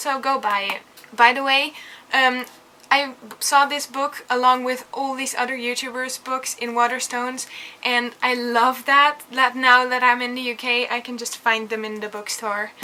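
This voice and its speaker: A woman with a Dutch accent speaks at a moderate pace and a high pitch in monotone, flat intonation. Her loudness swings widely over noticeable background noise. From Netherlands. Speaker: book vlogger. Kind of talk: casual book review vlog.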